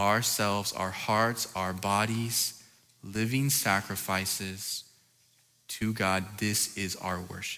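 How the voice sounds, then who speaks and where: A man's bright, sharp voice at a fairly low pitch, very slow in pace, with audible room echo. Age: 30s. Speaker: youth pastor. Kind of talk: sermon. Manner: animated.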